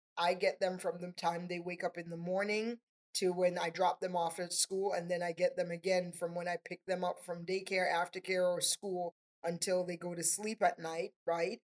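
A woman with a slight Trinidadian accent speaks at a fairly low pitch with monotone, flat intonation, in a dry, close sound with no echo. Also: moderate pace. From Trinidad and Tobago. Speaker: nonprofit area director. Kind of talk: casual interview conversation.

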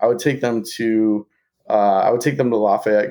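This man talks at a moderate pace with an American accent and a medium pitch. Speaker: teacher and entrepreneur. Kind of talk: interview.

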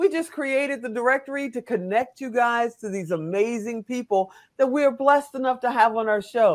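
Speech at a moderate pace comes through in a very clean recording with a silent background. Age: 50s. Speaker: podcast host. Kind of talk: casual interview. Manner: animated.

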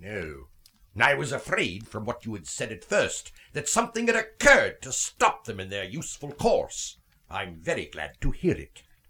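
A gruff, put-on character voice from a man, medium in pitch and moderate in pace. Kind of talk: radio drama acting. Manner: gruff, scornful, curt.

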